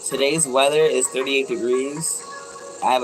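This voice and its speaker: Music plays in the background. A woman speaks in an animated tone. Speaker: waist bead maker. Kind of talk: casual livestream chat while crafting. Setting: craft shop. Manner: fast.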